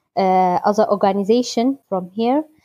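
A woman with a Kurdish accent speaks fairly slowly at medium pitch. Her intonation stays fairly even. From Iraqi Kurdistan (Halabja). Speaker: electrical engineer at a recycling project. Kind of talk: interview. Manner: halting.

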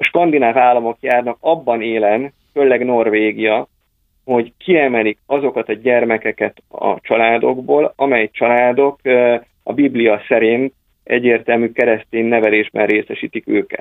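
A man's normal speaking voice at a medium pitch, fairly slow in pace, with fairly even intonation and very even loudness. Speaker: think tank research director. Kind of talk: political discussion. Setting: phone call. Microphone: telephone line.

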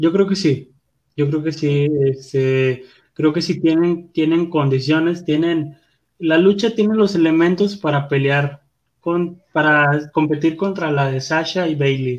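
This man has a plain, everyday voice with a fairly high pitch. He talks at a fairly slow pace. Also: fairly even intonation. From Guadalupe, Nuevo León, Mexico. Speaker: wrestling podcast co-host. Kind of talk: casual chat.

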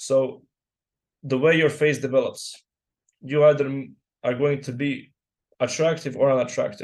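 With a Croatian accent, a man talks at a moderate pace with long, frequent pauses, fairly high pitch and fairly even intonation. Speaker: guest stranger. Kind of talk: casual chat. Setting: video call.

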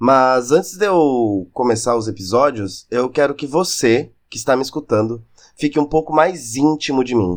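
Medium-pitched male speech in a normal speaking voice, moderate in pace, with ordinary pitch variation over a quiet background. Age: 20s. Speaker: podcast host. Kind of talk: scripted monologue.

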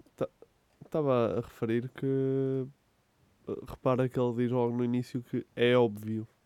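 Speaking in a European Portuguese accent, a man uses a dark, mellow tone and monotone, flat intonation, with long, frequent pauses in a dry, close sound with no echo. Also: medium pitch for a man, fairly slow pace. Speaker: podcast co-host. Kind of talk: casual chat.

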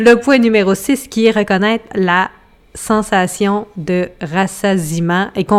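A woman with a Quebec accent speaks at a medium pitch with fairly even intonation. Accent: Québécois French. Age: 30s. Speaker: cookbook author and podcast co-host. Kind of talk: casual chat.

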